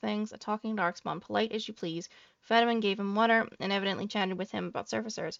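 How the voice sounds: It is a natural reading voice with ordinary pitch variation.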